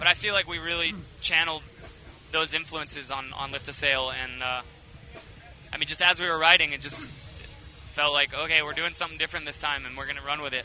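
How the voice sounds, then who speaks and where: With music in the background, a man with a fairly high pitch and fairly even intonation talks at a very fast pace broken by long, frequent pauses. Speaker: rock band singer. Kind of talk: casual interview chat. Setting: interview at music festival. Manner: halting, many fillers.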